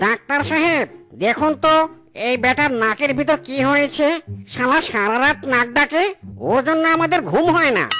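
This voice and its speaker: This is a cartoonish character voice. Its pitch is high. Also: moderate pace. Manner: whiny, quick to anger.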